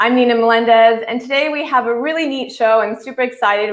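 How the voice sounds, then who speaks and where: Here a woman talks at a fairly quick pace. Her voice sits fairly high, with ordinary pitch variation. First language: not English. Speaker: news show host. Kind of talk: live interview.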